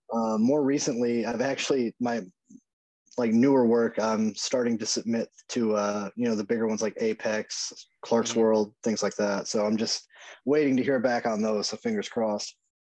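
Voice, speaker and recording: A man speaks at a moderate pace with a Southern US accent. His medium-pitched voice has a dark, mellow tone and a flat, monotone intonation. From US South. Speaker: horror author. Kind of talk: casual interview chat.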